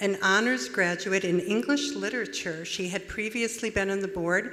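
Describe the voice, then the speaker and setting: A woman with an American accent uses a plain, everyday voice with ordinary pitch variation. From USA. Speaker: conference host. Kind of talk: speaker introduction.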